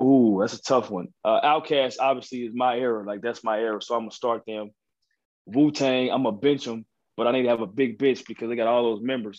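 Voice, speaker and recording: An unremarkable speaking voice: a man with an American accent, fairly quick in pace, medium in pitch, with fairly even intonation. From Texas, Dallas. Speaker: college basketball coach. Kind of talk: casual interview.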